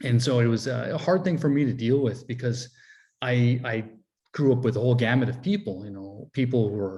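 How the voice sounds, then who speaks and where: Somewhat breathy and with ordinary pitch variation, the voice moves at a fairly quick pace on a very clean recording with a silent background. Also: man, medium pitch for a man. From Alaska, Fort Yukon village (Gwich'in). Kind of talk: interview answers. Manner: hesitant, many fillers and restarts.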